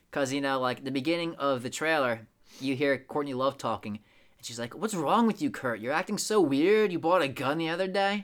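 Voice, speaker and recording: A man with a plain, everyday voice talks at a fairly quick pace, his fairly high pitch moving in lively intonation over a very clean recording with a silent background. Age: 20s. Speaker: podcast co-host. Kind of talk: casual chat.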